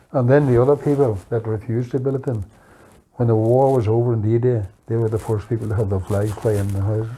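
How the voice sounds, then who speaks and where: A man's dark, mellow, somewhat breathy voice at a very fast pace, with fairly even intonation. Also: medium pitch for a man. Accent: Northern Irish. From Northern Ireland, Fermanagh border. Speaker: oral history interviewee. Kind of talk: reminiscence interview. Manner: halting.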